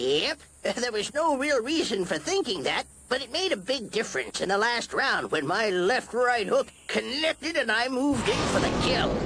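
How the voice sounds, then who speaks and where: This is a cartoonish character voice from a man. His pitch sits extremely high. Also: moderate pace, lively intonation. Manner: gruff, folksy.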